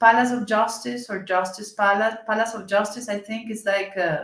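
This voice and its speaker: A woman with a Colombian accent speaks at a moderate pace in a fairly high pitch. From Colombia, Cali. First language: Spanish. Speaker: senator. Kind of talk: interview conversation. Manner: halting, searching for English words.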